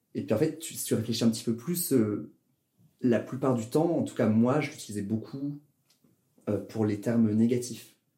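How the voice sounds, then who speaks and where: A somewhat breathy speaker with a dark, mellow tone talks at a moderate pace with ordinary pitch variation and long, frequent pauses. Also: man, medium pitch for a man. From southern France, Toulouse. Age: 20s. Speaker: drag performer and engineer. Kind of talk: casual interview.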